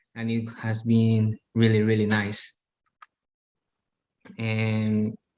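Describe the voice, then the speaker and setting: A man speaks very slowly with a non-native accent, his pitch in the medium range. His intonation stays monotone and flat. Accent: foreign. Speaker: interview guest. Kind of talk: interview.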